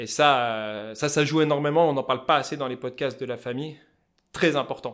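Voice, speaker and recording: A man talks at medium pitch and a fairly quick pace with a Vosges accent. His intonation is fairly even, and the recording is very clean with a silent background. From France, Vosges. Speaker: fly-tying craftsman and entrepreneur. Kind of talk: interview conversation. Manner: casual, colloquial.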